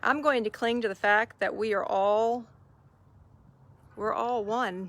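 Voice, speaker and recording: A woman with a slight Southern US accent talks at a moderate pace in a warm tone and a fairly high pitch. Her intonation is fairly even, and the recording is very clean with a silent background. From US South. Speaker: faith-based online mentor. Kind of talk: live stream talk to viewers. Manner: warm, conversational.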